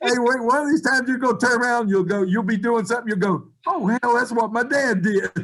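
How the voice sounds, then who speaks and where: In an Appalachian accent, a man talks at a very fast pace with hardly any pauses, an extremely high pitch, ordinary pitch variation and very even loudness. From West Virginia. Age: 70s. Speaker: college basketball coach. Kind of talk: interview.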